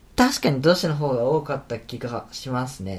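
His intonation rises and falls with liveliness. The man's voice carries a slight breathiness. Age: 20s. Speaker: university student and podcaster. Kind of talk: casual chat.

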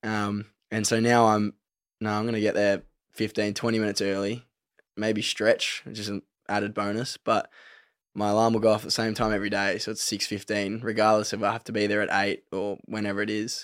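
A man with an Australian accent talks in a fairly low, monotone, flat voice. The recording is very clean, with a silent background. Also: fairly quick pace. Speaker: professional footballer. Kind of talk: casual chat.

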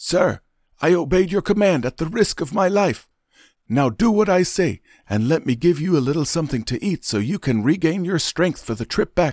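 A man's high-pitched, put-on character voice. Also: moderate pace, very clean recording, silent background. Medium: audio drama.

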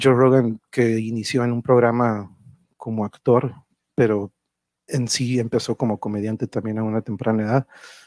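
The man's monotone, flat intonation comes through with a dry, close sound and no echo. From Tijuana, Mexico. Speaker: livestream show host and musician. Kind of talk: casual live-streamed chat. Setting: live stream. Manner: informal, rambling, with filler words.

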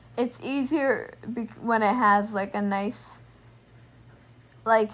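A somewhat breathy woman's voice, fairly high-pitched, at a very slow pace with long, frequent pauses and fairly even intonation. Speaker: podcast host. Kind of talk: casual chat.

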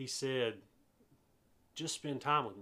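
A man's fairly high voice in a Southern US accent. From US South, eastern North Carolina. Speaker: pastor. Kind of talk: informal sermon recap monologue. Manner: casual with frequent filler hesitations.

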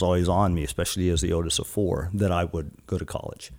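Very deep and low, a man's dark, mellow voice races along at a very fast pace in a very clean recording with a silent background. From Guam. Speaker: life and business coach, former naval officer. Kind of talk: casual interview chat.

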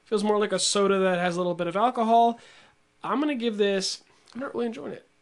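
At a very fast pace, a high-pitched man speaks with ordinary pitch variation. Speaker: podcast host. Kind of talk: casual chat.

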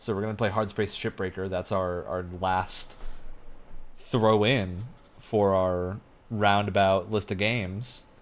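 A man speaks at a fairly slow pace with monotone, flat intonation. The recording is very clean, with a silent background. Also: fairly low pitch for a man. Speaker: podcast host, game designer. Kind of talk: casual chat podcast.

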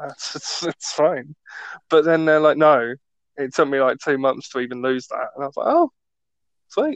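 With a British accent and a fairly high pitch, a man speaks at a moderate pace with long, frequent pauses, the sound dry and close with no echo. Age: 20s. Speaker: podcast host, student. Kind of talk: casual chat. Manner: joking, animated.

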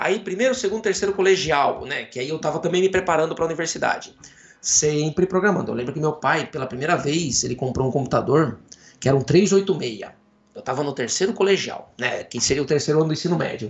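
A man talks at a fairly quick pace with lively intonation and fairly high pitch. His is an unremarkable speaking voice. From Brazil, interior of São Paulo state (Jaú). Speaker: computer science professor. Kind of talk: casual interview.

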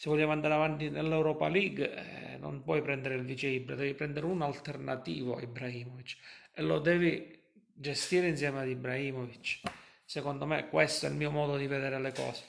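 With audible room echo, a man talks at a very fast pace, his pitch fairly high and his intonation fairly even. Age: 40s. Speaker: football fan livestream host. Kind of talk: casual chat.

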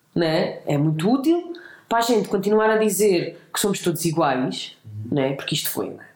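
Her medium-pitched voice swings very widely in pitch as the woman speaks at a moderate pace, with audible room echo around her. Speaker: human rights activist. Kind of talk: casual interview conversation. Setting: host's home.

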